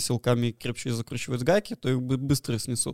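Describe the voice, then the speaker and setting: The sound is dry and close with no echo as a man with a dark, mellow tone talks at a fairly quick pace. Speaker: podcast co-host. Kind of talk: casual chat.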